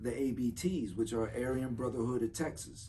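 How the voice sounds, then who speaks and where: A man with a South Florida accent, medium pitch, ordinary pitch variation and a moderate pace. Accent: southern Florida speech, remarked on. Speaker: former federal prisoner. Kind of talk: casual podcast chat.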